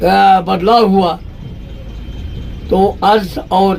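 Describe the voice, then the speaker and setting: There is noticeable background noise. A man speaks in a high voice. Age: 80s+. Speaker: political march participant. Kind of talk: interview answer.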